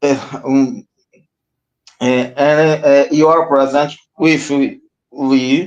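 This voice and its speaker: Here a man speaks with a Portuguese accent. His pace is very slow. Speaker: livestream host. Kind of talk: introduction. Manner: halting, hesitant.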